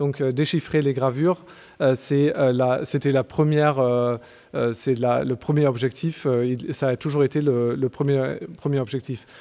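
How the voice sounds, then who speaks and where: A man with a dark, mellow tone speaks fairly slowly at a medium pitch, keeping his loudness very even and his intonation fairly even. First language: German (speaking French). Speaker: archaeologist. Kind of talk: conference talk. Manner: halting, many hesitations.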